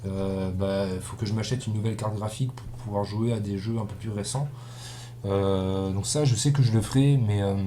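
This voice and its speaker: With audible room echo and noticeable background noise, a man speaks at a fairly low pitch and a moderate pace, keeping his intonation fairly even. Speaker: gaming YouTuber. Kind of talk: let's play commentary. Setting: recording at home computer. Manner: monotone; relatively loud. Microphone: cheap built-in webcam mic.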